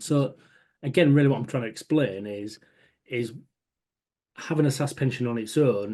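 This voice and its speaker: This man's voice has a dark, mellow tone and a Hull accent. His pitch varies in an ordinary way. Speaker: pension adviser. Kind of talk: webinar presentation. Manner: fast.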